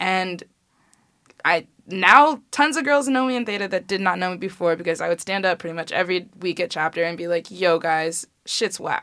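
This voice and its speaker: A woman speaks in a normal speaking voice, medium in pitch, with lively intonation at a moderate pace. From Chicago. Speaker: college student, sorority member. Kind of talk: casual interview chat.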